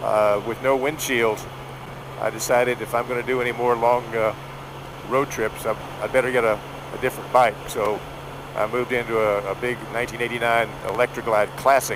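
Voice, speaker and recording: Noticeable background noise sits behind a man who talks at a fairly quick pace with fairly even intonation. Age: 70s. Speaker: motorcycle vlogger. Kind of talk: casual talk to camera while riding. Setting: outdoors.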